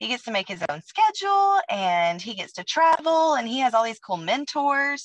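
A woman's high, energetic voice with very wide pitch swings at a moderate pace, dry with no echo against a quiet background. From Alabama. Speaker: cheer coach and network marketing distributor. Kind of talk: testimony. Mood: upbeat, enthusiastic. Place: home room. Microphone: video call.

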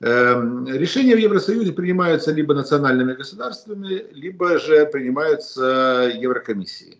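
Speaking at a moderate pace, a man barely pauses at all. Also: fairly high pitch for a man. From Ukraine. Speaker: political analyst. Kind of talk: analytical interview. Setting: remote video call. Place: home room. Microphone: video call.

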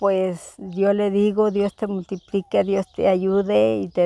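Speaking at a very slow pace, a woman has a dark, mellow tone on a dry recording with no echo. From Zacatecas, Mexico (rural, near Jerez); Zacatecas, Mexico. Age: 60s. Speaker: rural homemaker; interviewee. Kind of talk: interview. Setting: at her home, rural village. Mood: warm, nostalgic. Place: farm machine.

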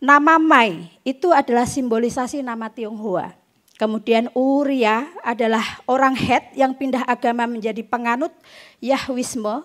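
Against a quiet background, a woman speaks fairly slowly at a high pitch with ordinary pitch variation. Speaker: literary critic and researcher; panel discussant on poetry book. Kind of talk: panel talk; literary critique talk. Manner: halting. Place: stage. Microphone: handheld.

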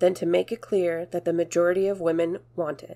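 A woman speaks at a moderate pace and medium pitch in a dark, mellow tone. The recording is very clean, with a silent background. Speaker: narrator reading a historical speech. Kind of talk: reading aloud a 1910 anti-suffrage speech, formal oratory.

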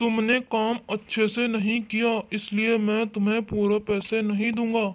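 A cartoonish, female-sounding character voice at a fairly high pitch, fairly slow and monotone with flat intonation. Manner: dismissive, harsh.

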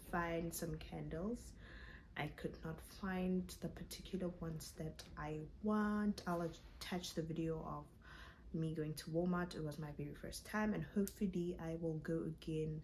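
Over light background noise, a woman speaks at a fairly slow pace with a fairly low pitch, fairly even intonation, and a somewhat breathy voice. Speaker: vlogger. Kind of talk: casual vlog chat. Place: home room. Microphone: phone near.

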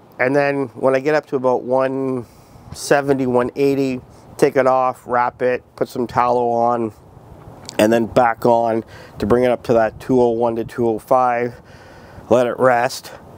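Against noticeable background noise, a man speaks at a very slow pace in a monotone, flat delivery at medium pitch. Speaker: cooking video creator. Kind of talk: cooking tutorial. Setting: outdoors.

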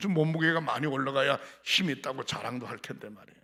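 Talking at a fairly quick pace, a man with a medium pitch has a bright, sharp tone. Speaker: pastor. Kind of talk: sermon. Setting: church.

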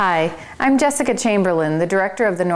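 With lively intonation, the speaker reads in an unforced voice.

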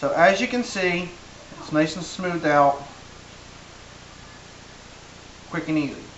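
This man talks at a fairly slow pace with ordinary pitch variation and long, frequent pauses, while light background noise and audible room echo fill the recording. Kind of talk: tutorial. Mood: relaxed, good-humoured. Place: kitchen. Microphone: camera far.

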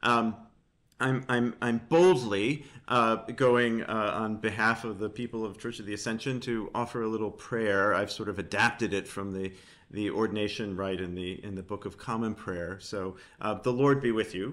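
A man's fairly low voice at a moderate pace, with ordinary pitch variation and a quiet background. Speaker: church communications staff and interviewer; interviewer. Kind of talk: interview. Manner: hesitant, many fillers. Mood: warm, reverent. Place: home room. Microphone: video call.

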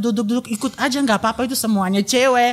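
Rattling along at a very fast pace, a man with a high pitch uses ordinary pitch variation. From Bulgaria. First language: Bulgarian (speaking Indonesian). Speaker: graduate student and traditional dance learner; guest. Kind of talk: casual interview. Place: studio. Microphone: studio mic.

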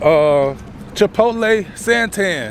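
There is music in the background as a man speaks at a high pitch, with a dry sound with no echo. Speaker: food delivery driver vlogger. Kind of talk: casual vlog chat. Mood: upbeat, laughing, then complaining. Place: street. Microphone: phone near.

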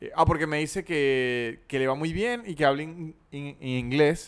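In an ordinary speaking voice, a man with a fairly high pitch talks at a fairly slow pace with ordinary pitch variation. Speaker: podcast host. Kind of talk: casual comedy chat.

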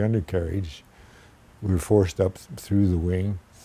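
This man's voice sits fairly low, with a dark, mellow tone and fairly even intonation. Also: dry sound with no echo. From Canada. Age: 80s+. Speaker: war veteran; former flying instructor. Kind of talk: oral history interview answer. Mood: calm, dry humor. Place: home room.

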